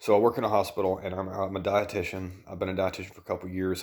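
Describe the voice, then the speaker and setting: Quiet and very fast, a man with a Southern US accent speaks at a very deep, low pitch in a flat monotone on a very clean recording with a silent background. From US South. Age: 30s. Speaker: dietitian and vlogger. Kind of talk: personal vlog. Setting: at home at night.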